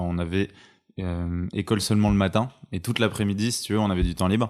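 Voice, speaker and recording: Over a silent background in a very clean recording, a man talks at a fairly quick pace with a very deep, low pitch and fairly even intonation. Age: 20s. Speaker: entrepreneur. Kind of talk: casual chat. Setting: at home.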